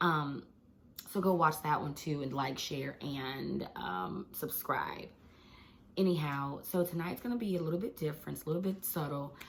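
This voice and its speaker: With vocal fry and lively intonation, a woman speaks at a very deep, low pitch and a moderate pace. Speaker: teacher and devotional vlogger. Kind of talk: casual devotional vlog. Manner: animated.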